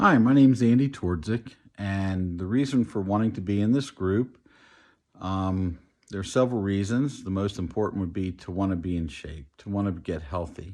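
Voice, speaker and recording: A man speaks in a plain, everyday voice at a moderate pace. His pitch is fairly low, with ordinary pitch variation. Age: 50s. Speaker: weight loss program contestant. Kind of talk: testimony.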